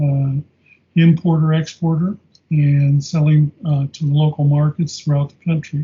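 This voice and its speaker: Somewhat breathy, a man with an American accent talks at a fairly high pitch in a monotone, flat intonation. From US Midwest, Clinton, Iowa. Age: 70s. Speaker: retired sales manager, fraternal organization district deputy. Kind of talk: interview. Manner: halting, frequent fillers.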